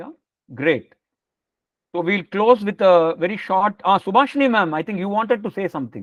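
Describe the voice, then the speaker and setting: In a Tamil accent, a man with a high voice talks fairly quickly with lively intonation, big swings in loudness and long, frequent pauses, in a dry, close sound with no echo. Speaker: spiritual teacher. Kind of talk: lecture Q&A.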